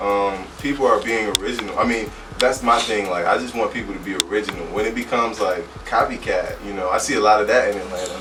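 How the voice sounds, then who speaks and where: A man talking at a very fast pace amid audible room echo and noticeable background noise. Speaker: rapper and producer. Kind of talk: interview. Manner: casual, many fillers.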